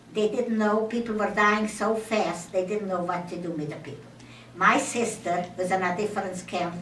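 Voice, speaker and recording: At a moderate pace and medium pitch, a woman speaks with fairly even intonation over noticeable background noise and audible room echo. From Czechoslovakia. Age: 80s+. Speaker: Holocaust survivor. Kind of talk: testimony. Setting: speaking to an audience in a temple. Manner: halting.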